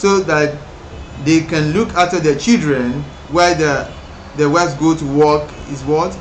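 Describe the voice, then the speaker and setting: A man talks at a fairly slow pace with a Nigerian accent. Noticeable background noise and audible room echo surround him. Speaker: English exam teacher. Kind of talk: tutorial. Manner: halting, with many self-repairs.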